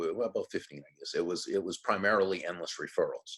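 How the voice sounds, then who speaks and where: This man talks with an American accent. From Massachusetts, near Worcester. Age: 60s. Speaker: author and public speaker. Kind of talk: podcast interview.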